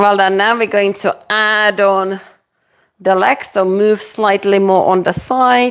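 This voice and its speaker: Speaking at a very slow pace with a European accent, a woman keeps her medium-pitched voice at a very even loudness. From Czech Republic. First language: Czech. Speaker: fitness instructor. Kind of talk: live-streamed workout class. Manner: energetic, encouraging.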